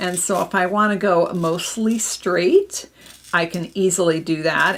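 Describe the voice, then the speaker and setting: In an Upper Midwest US accent, a woman speaks at a fairly low pitch with ordinary pitch variation and vocal fry. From Minnesota. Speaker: papercraft demonstrator. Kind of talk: live craft tutorial.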